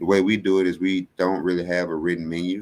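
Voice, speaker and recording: A man with a very deep, low pitch and an American accent. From Mississippi Delta, US South. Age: 20s. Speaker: chef and restaurant owner. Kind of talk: interview.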